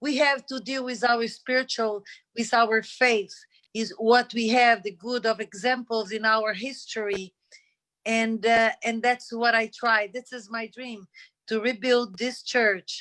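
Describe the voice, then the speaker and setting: A woman speaks at a fairly high pitch with fairly even intonation. Her tone is bright and sharp, her pace fairly slow. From Middle East. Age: 60s. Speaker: foundation founder. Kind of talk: speech at an online panel. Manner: halting.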